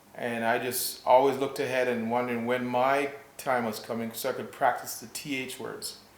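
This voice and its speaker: Over noticeable background noise and audible room echo, a man speaks at a moderate pace, his loudness swinging widely. His medium-pitched delivery stays monotone and flat. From Jamaica, Kingston; moved to Canada as a child. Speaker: health and wellness practitioner. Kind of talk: interview.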